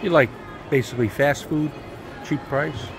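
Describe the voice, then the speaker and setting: Noticeable background noise runs behind a man whose pitch is fairly high. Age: 60s. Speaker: travel vlogger. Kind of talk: casual vlog narration.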